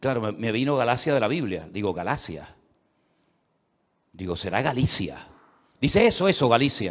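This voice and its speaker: At a moderate pace, a man of medium pitch is heard in a very clean recording with a silent background. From Canary Islands, Spain. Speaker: pastor. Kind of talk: sermon. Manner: repetitive, self-interrupting.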